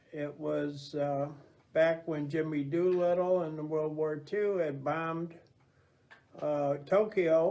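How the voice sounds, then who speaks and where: With an American accent, a man at a fairly high pitch speaks very slowly with fairly even intonation and long, frequent pauses, and audible room echo is heard. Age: 70s. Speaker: navy veteran. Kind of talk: interview. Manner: halting, many fillers.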